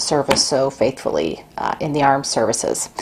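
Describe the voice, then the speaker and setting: Soft-spoken, a woman with an American accent talks at a moderate pace in a very deep, low pitch over noticeable background noise. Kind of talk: casual talk to camera. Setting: at home. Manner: halting with fillers.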